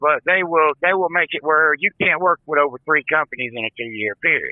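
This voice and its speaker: Here a man talks at a fairly quick pace. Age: 50s. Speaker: truck driver. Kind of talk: interview. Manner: halting.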